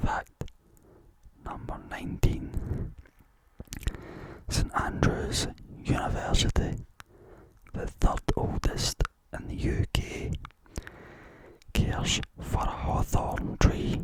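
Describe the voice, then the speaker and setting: The speaker whispers at a very slow pace with long, frequent pauses. Noticeable background noise is present. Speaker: ASMR content creator. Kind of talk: ASMR whispered fact narration. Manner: whispered, soft-spoken, repeating words.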